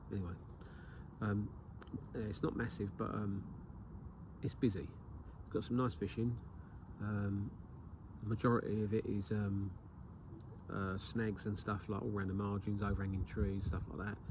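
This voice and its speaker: Amid audible room echo, a man with an English accent and a fairly low pitch speaks at a moderate pace, somewhat breathy, with fairly even intonation and long, frequent pauses. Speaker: carp angler and video maker. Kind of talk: outdoor fishing vlog tutorial. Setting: outdoors at a lake. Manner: hesitant, many fillers.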